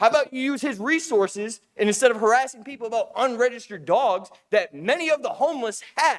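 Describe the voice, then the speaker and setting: Shouting loudly at a very fast pace, the speaker barely pauses and keeps the intonation lively. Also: man, extremely high pitch for a man. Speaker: resident giving public comment. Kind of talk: public comment. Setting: city council meeting. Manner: loud, yelling.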